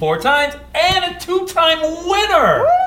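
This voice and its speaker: A man projects his raised voice through noticeable background noise. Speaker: podcast co-host. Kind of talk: casual chat. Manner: excitable.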